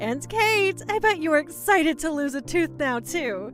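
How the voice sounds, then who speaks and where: Over clear music in the background, someone delivers a put-on character voice at a moderate pace. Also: female-sounding voice, high pitch for a woman. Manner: warm, smiling.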